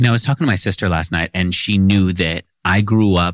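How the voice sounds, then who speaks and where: At a fairly quick pace, a man with an American accent speaks in a very deep, low pitch with ordinary pitch variation, the sound dry and close with no echo. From New York City (Queens). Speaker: podcast host and entrepreneur. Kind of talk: interview.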